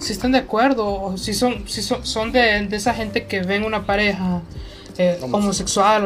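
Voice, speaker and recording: A woman's medium-pitched voice at a moderate pace, ordinary pitch variation, audible room echo and noticeable background noise. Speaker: podcast co-host. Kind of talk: casual chat.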